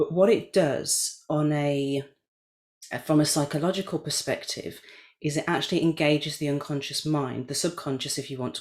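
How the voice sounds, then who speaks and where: A moderate pace carries the speech. It comes in a British accent. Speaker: NLP coach. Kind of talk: casual chat. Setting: video call.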